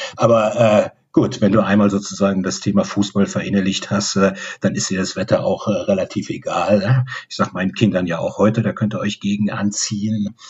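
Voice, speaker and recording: A man's volume rises and drops sharply. He keeps a moderate speed. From Rhineland, Bonn. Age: 60s. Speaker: football fan club member. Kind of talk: interview.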